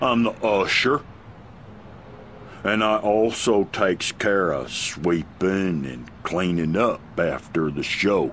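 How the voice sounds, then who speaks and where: In a put-on character voice, a man drawls very slowly at a fairly low pitch with lively intonation, over clear background noise. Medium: video game. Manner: drawling, repetitive, folksy.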